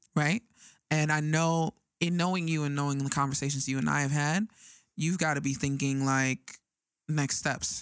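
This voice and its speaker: A woman with an American accent speaks at a moderate pace in a very deep, low pitch, with very even loudness, long, frequent pauses, and a dry, close sound with no echo. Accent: fake New York accent at times. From Arizona, US. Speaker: podcast host. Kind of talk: casual chat. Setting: studio. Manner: animated.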